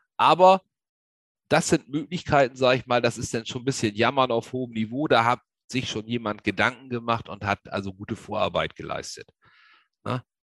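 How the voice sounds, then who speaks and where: A man talks at a moderate pace with ordinary pitch variation, stopping often for long pauses. The sound is dry and close, with no echo. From Lower Saxony, northern Germany. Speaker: agricultural safety expert. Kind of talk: webinar lecture. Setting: online webinar. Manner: hesitant, many filler sounds.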